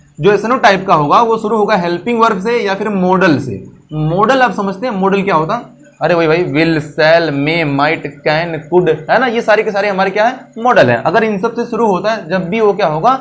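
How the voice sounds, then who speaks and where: A man with a high pitch speaks at a moderate pace, using ordinary pitch variation. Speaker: English teacher. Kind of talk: grammar lesson to camera. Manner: funny, comedic.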